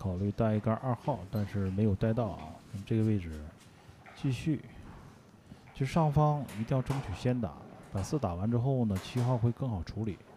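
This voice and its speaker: A man speaks at a medium pitch and a moderate pace, somewhat breathy and in a dark, mellow tone, with lively intonation and long, frequent pauses. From Heilongjiang, Greater Khingan (Jiagedaqi). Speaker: billiards commentator. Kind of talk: live sports commentary.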